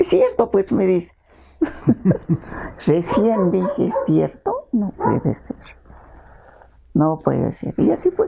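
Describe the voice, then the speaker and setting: Against noticeable background noise, a woman keeps to a fairly slow pace. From Peru, Ancash highlands. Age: 70s. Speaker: children's author and teacher. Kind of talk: interview, casual storytelling. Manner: animated.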